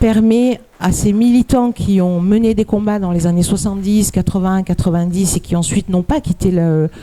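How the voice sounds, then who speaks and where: A woman speaks at a moderate pace in a dark, mellow tone, with hardly any pauses and very even loudness. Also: medium pitch for a woman, ordinary pitch variation. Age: 60s. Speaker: activist. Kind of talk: conference talk. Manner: halting.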